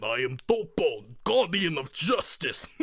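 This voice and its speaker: A man puts on a character voice in a Russian accent, high-pitched and at a fairly slow pace. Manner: grandiose, heroic.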